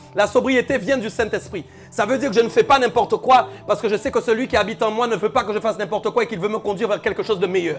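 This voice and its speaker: A man talks at a very fast pace with hardly any pauses, his high-pitched voice animated in tone with ordinary pitch variation. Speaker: preacher. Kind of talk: sermon.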